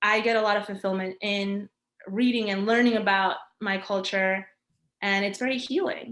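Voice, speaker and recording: The speaker is a woman with a New York accent. She talks at a moderate pace. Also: medium pitch for a woman. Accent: New York American English. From New York, US. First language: Spanish. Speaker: graphic designer. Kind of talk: interview. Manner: energetic.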